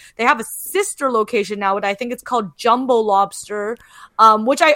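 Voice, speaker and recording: A woman talks fairly quickly in a plain, everyday voice, pitched fairly high with ordinary variation. The sound is dry and close, with no echo. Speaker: podcast host. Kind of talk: casual chat.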